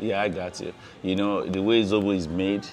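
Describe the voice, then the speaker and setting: A man talks at a fairly quick pace with a fairly low pitch. Light background noise can be heard. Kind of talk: interview answer. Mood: friendly, relaxed, smiling. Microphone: lapel.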